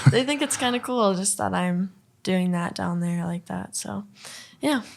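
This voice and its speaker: A woman's medium-pitched voice with a northern US accent, fairly slow, with very wide pitch swings. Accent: northern US accent, noticeable. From Minnesota, Duluth. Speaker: country singer-songwriter. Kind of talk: podcast interview.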